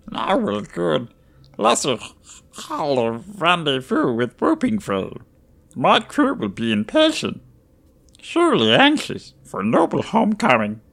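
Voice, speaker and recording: A croaky, put-on character voice, low-to-middle in pitch, at a fairly slow pace. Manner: choppy broken speech, urgent, proud.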